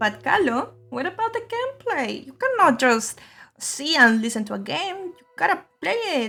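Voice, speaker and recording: Faint music plays behind a high put-on character voice that swings very widely in pitch at a moderate pace. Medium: solo performance. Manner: pushy, teasing.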